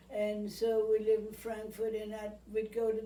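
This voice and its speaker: A woman at fairly high pitch talks at a fairly slow pace in a flat monotone, with audible room echo and noticeable background noise. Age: 90s. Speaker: retirement home resident. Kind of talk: interview. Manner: halting.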